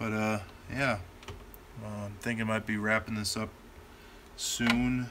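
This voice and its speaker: A man's fairly slow, monotone, flat delivery with long, frequent pauses over noticeable background noise. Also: fairly low pitch for a man. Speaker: YouTuber, toy blaster modder. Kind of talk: live stream casual chat. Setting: home workshop live stream. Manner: casual, unrehearsed.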